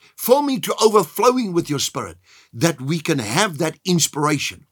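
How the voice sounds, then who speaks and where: The recording is very clean and the background silent. At a moderate pace, a man's voice shows vocal fry and very wide pitch swings. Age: 70s. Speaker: pastor. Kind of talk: sermon.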